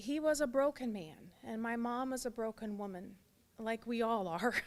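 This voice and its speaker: A woman in an American accent speaks with a normal speaking voice, fairly high in pitch with ordinary pitch variation, at a moderate pace. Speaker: pro-life activist, former abortion worker. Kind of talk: testimony.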